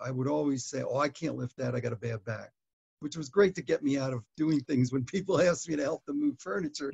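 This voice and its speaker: With a fairly high pitch and ordinary pitch variation, a man talks at a very fast pace and sounds somewhat breathy. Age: 70s. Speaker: chronic back pain patient giving a testimonial. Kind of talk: interview answer. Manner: hesitant, with many fillers. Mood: calm, reflective. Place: home room. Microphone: webcam.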